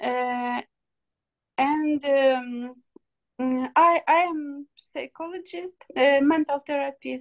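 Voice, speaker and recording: In a Ukrainian accent, a woman speaks very slowly at a high pitch with fairly even intonation and long, frequent pauses. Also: dry, close sound with no echo. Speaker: psychologist. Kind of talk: self-introduction at online meeting. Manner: halting, many fillers.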